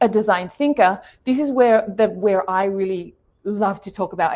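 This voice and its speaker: An Australian accent at a moderate pace. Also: woman. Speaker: design thinking consultant. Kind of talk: webinar presentation.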